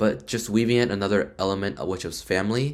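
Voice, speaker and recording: A non-native accent shapes this man's speech. He talks fairly quickly. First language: not English. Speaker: student vlogger. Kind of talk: tutorial. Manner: casual.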